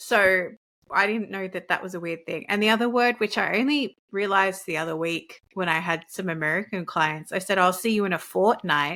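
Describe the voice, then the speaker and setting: In an Australian accent, a woman at medium pitch talks at a fairly quick pace with a bright, sharp tone on a very clean recording with a silent background. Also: ordinary pitch variation. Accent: Australian twang. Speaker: leadership coach. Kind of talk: casual interview chat.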